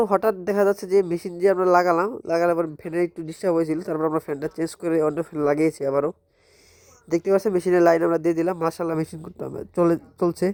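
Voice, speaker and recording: This very clean recording, with a silent background, has a dry, close sound with no echo and fairly even intonation. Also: man. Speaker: farmer and incubator maker. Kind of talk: vlog. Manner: effortful.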